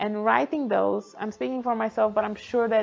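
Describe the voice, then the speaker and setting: A woman with a non-native accent at a fairly quick pace, music in the background. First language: not English. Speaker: founder and mentoring program lead. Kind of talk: presentation talk.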